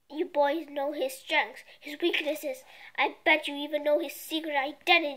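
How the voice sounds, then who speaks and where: A woman's put-on character voice, high-pitched and growling, at a moderate pace with fairly even intonation. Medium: read story. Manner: growling, menacing.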